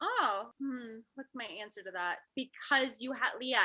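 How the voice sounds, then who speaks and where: A woman speaks in a high, raised and projected voice with ordinary pitch variation. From Texas. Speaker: actress. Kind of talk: casual chat.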